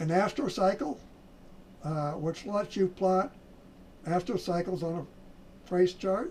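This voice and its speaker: A high-pitched man at a very slow pace, with long, frequent pauses and ordinary pitch variation. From US Midwest (South Dakota). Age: 70s. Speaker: trading educator. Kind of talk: sales pitch. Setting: home office. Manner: halting.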